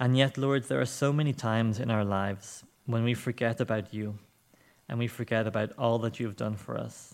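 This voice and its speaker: A man's normal speaking voice at medium pitch, with ordinary pitch variation and a fairly quick pace. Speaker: church service leader. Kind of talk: church service welcome and prayer. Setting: church.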